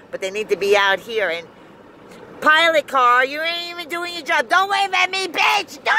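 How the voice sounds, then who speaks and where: A woman with an American accent uses a raised, projected voice at an extremely high pitch, with very wide pitch swings. The sound is dry with no echo, over light background noise. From US South. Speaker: vlogger. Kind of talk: casual vlog rant. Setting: in a car. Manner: animated. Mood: irritated ranting at road crew. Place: car. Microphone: phone near.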